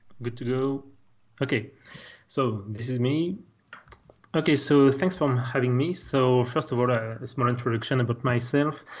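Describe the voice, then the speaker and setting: A man with a French accent speaks at a medium pitch and a moderate pace, with ordinary pitch variation. His voice is somewhat breathy, with long, frequent pauses. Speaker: technical artist. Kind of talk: software tutorial.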